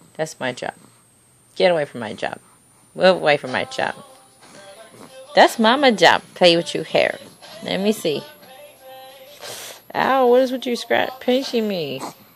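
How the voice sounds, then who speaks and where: A woman speaks at a fairly slow pace with long, frequent pauses and big swings in loudness, while faint music plays in the background. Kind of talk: playful baby talk. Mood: affectionate, playful, laughing. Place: home room. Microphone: phone near.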